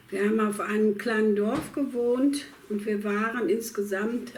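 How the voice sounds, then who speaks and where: Noticeable background noise sits behind a woman's voice. She talks at a fairly slow pace in a fairly high pitch. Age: 80s+. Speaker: war refugee. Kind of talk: interview answer. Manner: hesitant, with many fillers.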